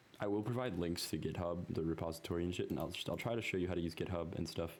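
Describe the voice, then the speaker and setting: Speech comes at a very fast pace with fairly even intonation and audible room echo. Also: man, very deep, low pitch for a man. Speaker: programming tutorial creator. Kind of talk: screen-recorded coding tutorial. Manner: casual, halting with many ums.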